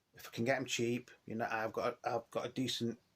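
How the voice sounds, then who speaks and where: At a moderate pace, a man with an English accent speaks at medium pitch in a monotone, flat intonation. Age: 50s. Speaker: record collector YouTuber. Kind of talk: casual vlog monologue. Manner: hesitant, many fillers.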